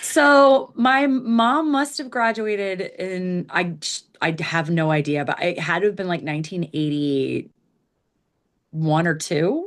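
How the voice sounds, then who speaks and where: In an American accent, a woman speaks at a fairly slow pace and a medium pitch, with very wide pitch swings. The background is quiet. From US Midwest, Missouri; military childhood around the US. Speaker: ska band singer. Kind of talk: casual interview chat.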